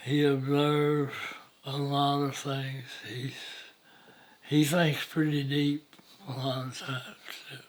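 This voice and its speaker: A man's fairly high voice in a Southeast Texas accent, very slow and monotone with flat intonation, long, frequent pauses, big swings in loudness and audible room echo. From Southeast Texas, Jefferson County. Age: 90s. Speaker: elderly storyteller interviewee. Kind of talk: oral history interview. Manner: halting, many hesitations.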